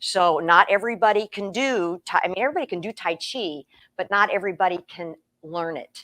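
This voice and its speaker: This woman has a plain, everyday voice, speaking at a fairly quick pace with medium pitch and ordinary pitch variation in a dry, close sound with no echo. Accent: American. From Iowa, Des Moines. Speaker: tai chi teacher. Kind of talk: interview on webinar.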